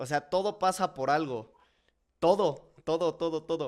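This man has a fairly high pitch. His pitch varies in an ordinary way. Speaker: podcast host. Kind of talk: casual chat.

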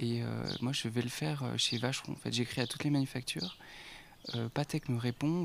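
A man at a medium pitch, fairly even in intonation, at a moderate pace. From Haute-Savoie, France (near Geneva). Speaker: independent watchmaker. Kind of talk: casual interview. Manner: hesitant, many fillers.

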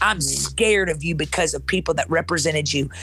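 There is music in the background. At a moderate speed, a woman talks over it. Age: 40s. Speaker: pastor. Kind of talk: motivational preaching.

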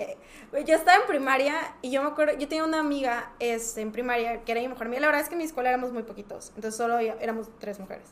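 Amid noticeable background noise, a woman with a high pitch speaks at a very fast pace, her pitch varying in an ordinary way. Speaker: podcast guest, music fan. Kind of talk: casual chat.

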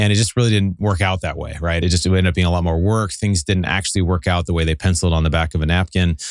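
A man's very deep, low voice with an American accent, fairly even intonation, a very fast pace and a quiet background. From Seattle, Pacific Northwest US. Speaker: real estate investor and podcast host. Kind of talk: casual interview chat. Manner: fast talker.

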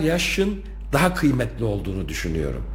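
Noticeable background noise and audible room echo around a male voice. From Turkey. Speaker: university rector. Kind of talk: radio interview. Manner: hesitant, many filler sounds.

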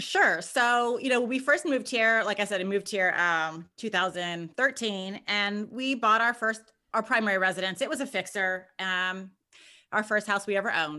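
With a Californian accent and an energetic, bright, sharp tone, the speaker talks at a moderate pace with ordinary pitch variation on a very clean recording with a silent background. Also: woman, medium pitch for a woman. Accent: Californian American English. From Southern California. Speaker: real estate investor. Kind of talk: interview.

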